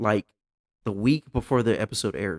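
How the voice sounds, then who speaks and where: The voice is a plain, everyday voice, a man's, at a fairly quick pace. Pitch variation is ordinary, and the sound is dry and close with no echo. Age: 30s. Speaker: podcast host. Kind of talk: casual chat.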